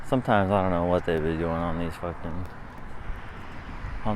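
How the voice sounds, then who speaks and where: A man speaks at a moderate pace with audible room echo and noticeable background noise around him. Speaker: vlogger. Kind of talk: casual monologue while walking.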